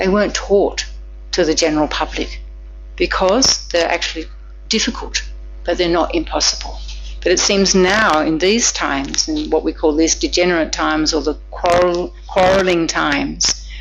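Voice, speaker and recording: A woman speaks at a moderate pace with very even loudness, with audible room echo and noticeable background noise. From Australia. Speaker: Buddhist nun teacher. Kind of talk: dharma lecture with interpretation.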